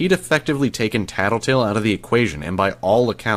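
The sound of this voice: An unforced reading voice with lively intonation.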